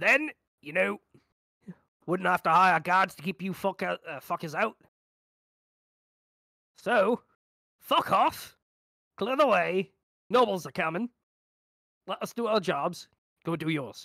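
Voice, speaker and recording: A strained, put-on character voice at a middle pitch moves at a fairly slow pace with long, frequent pauses, captured in a very clean recording with a silent background. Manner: gruff, aggressive.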